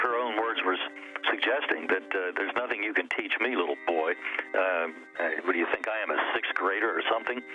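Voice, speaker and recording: Music plays behind a man whose intonation is lively. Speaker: gun rights lobbyist. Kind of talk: interview answer.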